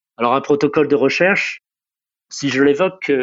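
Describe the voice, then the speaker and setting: This man's voice sits at a fairly high pitch, moving at a moderate pace with ordinary pitch variation. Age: 60s. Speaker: caregiver. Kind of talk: testimony. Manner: halting.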